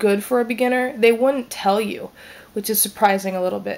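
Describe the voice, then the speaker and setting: A woman speaks with an American accent and ordinary pitch variation. Music plays in the background. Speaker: vlogger. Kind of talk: casual vlog monologue. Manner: hesitant, many fillers.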